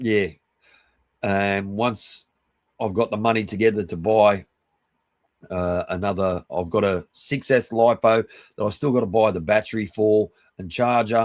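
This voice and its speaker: A man with an Australian accent, fairly low in pitch, at a fairly slow pace with fairly even intonation and long, frequent pauses, on a very clean recording with a silent background. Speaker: live streamer. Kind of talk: casual chat. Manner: halting, many fillers and restarts.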